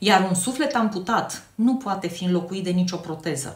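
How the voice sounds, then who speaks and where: A woman's voice swings very widely in pitch, heard with audible room echo and noticeable background noise. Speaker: nurse and health educator. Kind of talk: response to a viewer comment. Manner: loud; clear, emphatic articulation.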